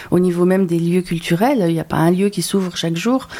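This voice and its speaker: A woman's fairly low voice comes through noticeable background noise. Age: 40s. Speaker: talent agent. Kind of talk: interview.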